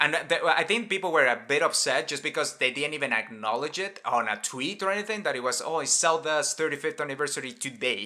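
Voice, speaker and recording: With a Spanish accent, a man talks at a very fast pace with hardly any pauses, using a fairly high pitch, lively intonation and a bright, sharp tone. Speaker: gaming podcast host. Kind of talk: casual chat.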